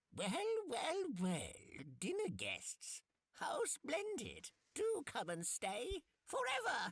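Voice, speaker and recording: A high, croaky put-on character voice is heard. It moves at a very slow pace. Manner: sinister, sweetly menacing.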